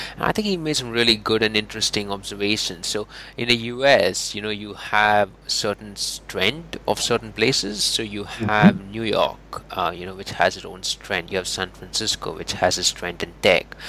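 A man's fairly low voice at a moderate pace, with ordinary pitch variation, big swings in loudness and noticeable background noise. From India. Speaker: podcast host. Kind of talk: interview.

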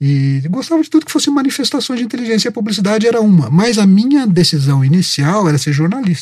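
A man with a high pitch talks at a very fast pace, with hardly any pauses. His pitch swings very widely. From Minas Gerais, Brazil (Itajubá). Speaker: advertising copywriter. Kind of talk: interview.

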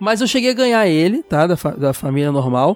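A man talks at a very fast pace in a high pitch. The sound is dry and close with no echo, over noticeable background noise. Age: 30s. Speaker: podcast host. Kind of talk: casual chat.

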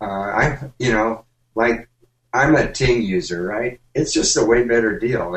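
This man has an unremarkable speaking voice. His pitch is medium. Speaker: tech show panelist. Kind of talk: casual banter. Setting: video call.

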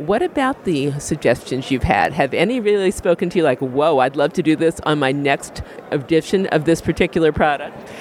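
Noticeable background noise sits under a man who talks at a moderate pace, his fairly high voice carrying lively intonation. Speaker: podcast host. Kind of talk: interview intro and outro, radio-style.

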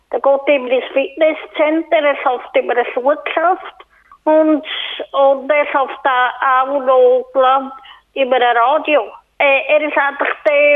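Very slow delivery with very even loudness and fairly even intonation. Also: woman. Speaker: community radio presenter. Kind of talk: radio presenting. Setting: phone call. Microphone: telephone line quality.

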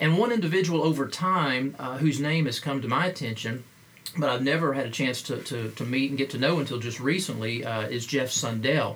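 A man with an American accent and a fairly high pitch talks at a fairly quick pace with ordinary pitch variation, over noticeable background noise. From Appalachia, US (Kentucky roots). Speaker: podcast host, pastor and missiologist. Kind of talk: interview. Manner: halting, many fillers.

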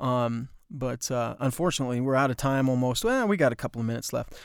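Recorded very cleanly against a silent background, a man talks at a fairly quick pace, his medium pitch varying in an ordinary way. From US West, horse racing circuit. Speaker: podcast host, filmmaker and former TV anchor. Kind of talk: casual storytelling monologue. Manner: halting, many fillers.

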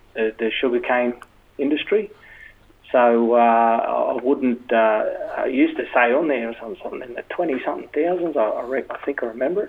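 A man speaks at a medium pitch with an Australian accent and ordinary pitch variation. His pace is moderate, with noticeable background noise. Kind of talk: casual interview chat.

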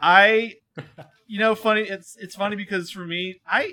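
Raised and projected, a man's high-pitched voice carries a bright, sharp tone in an American accent. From Connecticut, US. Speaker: podcast guest. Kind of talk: casual chat.

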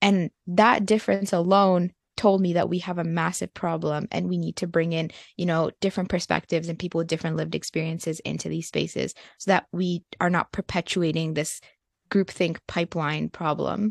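In a dry, close recording with no echo and a quiet background, a woman with a plain, everyday voice speaks at a fairly low pitch with fairly even intonation. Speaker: university student advocate. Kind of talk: casual interview conversation.

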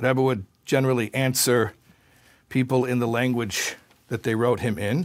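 A man's medium-pitched, fairly even voice at a moderate pace, with long, frequent pauses, on a very clean recording with a silent background. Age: 40s. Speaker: rabbi. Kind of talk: lecture. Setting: stage with audience.

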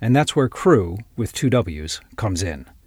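On a very clean recording with a silent background, a man talks at a moderate pace, his voice somewhat breathy and his intonation lively. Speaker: podcast host. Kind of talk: interview, podcast host.

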